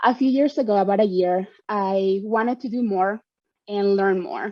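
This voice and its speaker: A woman with a Spanish accent, medium in pitch, at a fairly quick pace. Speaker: panelist, community volunteer and trainer. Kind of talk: prepared panel remarks. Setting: virtual event video call.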